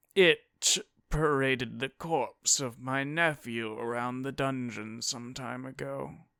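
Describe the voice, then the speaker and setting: A man in a put-on character voice, growling at medium pitch and a fairly slow pace. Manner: snarling.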